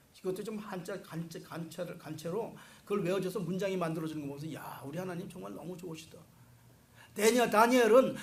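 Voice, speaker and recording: A man at a very fast pace, with audible room echo. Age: 60s. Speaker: pastor. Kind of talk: sermon.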